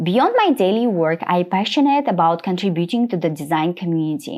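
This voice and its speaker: A woman speaks with a non-native accent. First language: not English. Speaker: UX designer and interview coach. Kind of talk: tutorial walking through a portfolio presentation. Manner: slightly halting with small slips.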